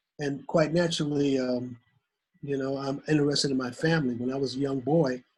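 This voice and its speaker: A man's medium-pitched, somewhat breathy voice at a fairly quick pace, with fairly even intonation. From US Midwest, Detroit, Michigan. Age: 70s. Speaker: documentary filmmaker and war veteran. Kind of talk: interview.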